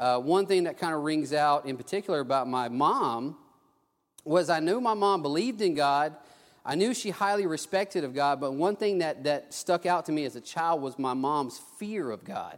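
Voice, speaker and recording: A man with a Texan accent, fairly high-pitched, lively in intonation, at a moderate pace, on a very clean recording against a silent background. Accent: Texan Southern US. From South Texas. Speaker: preacher. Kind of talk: sermon with personal testimony. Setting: church. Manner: halting, with many restarts.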